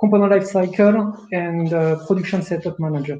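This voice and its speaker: A man's dark, mellow voice in a French accent, with fairly even intonation. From France. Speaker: production manager. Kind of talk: webinar presentation. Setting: online webinar.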